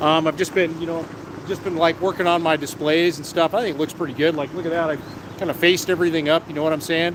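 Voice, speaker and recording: A fairly quick, fairly high-pitched man in a monotone, flat intonation, against noticeable background noise. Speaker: vlogger selling fireworks at a stand. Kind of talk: live stream casual chat. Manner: fast; casual, many filler words.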